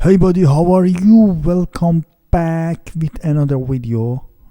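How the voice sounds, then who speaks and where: With a dark, mellow tone, a man talks at a very slow pace in a very clean recording with a silent background. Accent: non-native. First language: not English. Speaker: CNC hobbyist woodworker. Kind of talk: software tutorial. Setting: home. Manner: halting.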